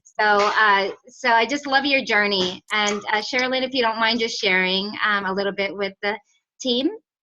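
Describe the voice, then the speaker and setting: A loud woman's voice with a bright, sharp tone, fairly high pitch, ordinary pitch variation and a moderate pace. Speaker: network marketing team leader. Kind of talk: team call hosting.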